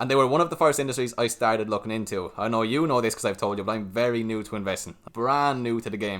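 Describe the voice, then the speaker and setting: Speaking in an Irish accent at a very fast pace, a man of medium pitch barely pauses and shows ordinary pitch variation. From Ireland. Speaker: stock market YouTuber. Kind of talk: casual chat.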